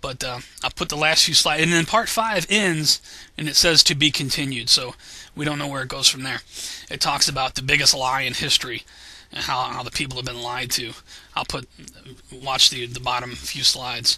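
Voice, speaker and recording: Over noticeable background noise, a man speaks at a medium pitch and a fairly quick pace, with ordinary pitch variation and big swings in loudness. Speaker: conspiracy video blogger. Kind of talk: casual vlog commentary. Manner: fast; halting, repetitive.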